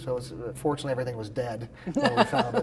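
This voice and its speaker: A man at medium pitch, talking at a very fast pace over noticeable background noise. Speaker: expert auctioneer. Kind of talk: interview answer. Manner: conversational, with filler words.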